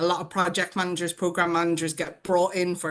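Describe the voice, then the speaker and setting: A woman speaks with an Irish accent at a fairly low pitch. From Ireland. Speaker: change manager, award winner. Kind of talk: panel discussion. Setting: video call.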